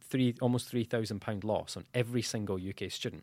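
The speaker is a man with a Dundee accent. The recording is very clean, with a silent background. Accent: Scottish (Dundee). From Scotland, Dundee. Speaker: student union president. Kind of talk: podcast interview.

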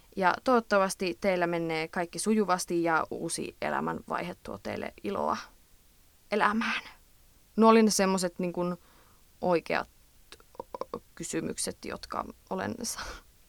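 A woman with an Eastern Finnish accent speaks at a fairly slow pace, with long, frequent pauses and big swings in loudness. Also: dry, close sound with no echo. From Eastern Finland. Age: 20s. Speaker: podcast host, student. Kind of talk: casual advice monologue. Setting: recording in a closet at night.

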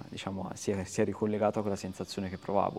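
A man speaks in a fairly low, flat monotone. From Italy, Tuscany (Arezzo). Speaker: photographer. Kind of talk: casual interview chat. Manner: halting, repetitive.

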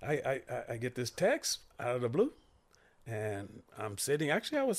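A man with an American accent, very wide pitch swings and a moderate pace. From Santa Monica, California. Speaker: stunt actor and storyteller. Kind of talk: casual chat.

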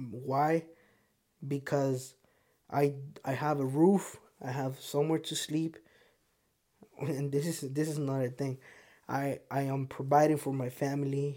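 The speaker has a Spanish accent and a fairly slow pace. Long pauses come often. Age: 20s. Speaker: podcast host. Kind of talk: casual monologue. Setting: home studio.

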